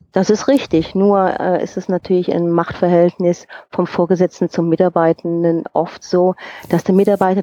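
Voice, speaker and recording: Dry and close with no echo, a woman's voice has a dark, mellow tone and a fairly low pitch. Her intonation is monotone and flat. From Rhineland, Germany. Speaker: HR coach and personnel manager. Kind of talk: interview.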